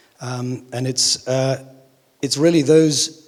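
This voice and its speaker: A man speaks in a monotone with flat intonation at a moderate pace. Noticeable background noise runs underneath. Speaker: investor and farmer on a conference panel. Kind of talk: conference panel talk. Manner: hesitant, many fillers.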